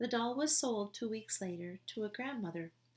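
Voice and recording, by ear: Someone reads aloud here in a natural voice.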